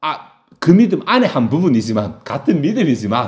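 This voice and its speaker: Speaking at a fairly quick pace with vocal fry, a man lets his pitch swing very widely. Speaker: pastor. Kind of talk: sermon. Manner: fast.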